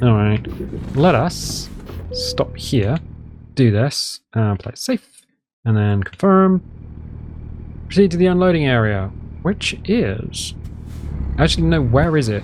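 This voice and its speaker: A man with a British accent speaks at a medium pitch and a fairly slow pace, leaving long, frequent pauses. His pitch swings very widely. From United Kingdom. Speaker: gaming video host. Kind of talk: casual gameplay commentary. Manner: relaxed, chatty.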